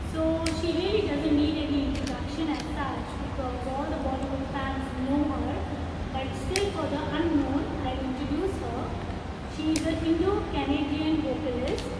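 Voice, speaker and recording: Loud background noise and audible room echo surround a woman speaking at a moderate pace. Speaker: celebrity blogger and interview presenter. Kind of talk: interview host introduction and questions.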